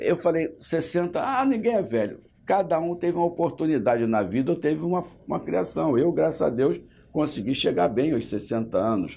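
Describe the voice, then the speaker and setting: A man's dark, mellow voice with vocal fry and very wide pitch swings. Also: fairly high pitch for a man, moderate pace. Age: 60s. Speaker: state legislator. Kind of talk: interview.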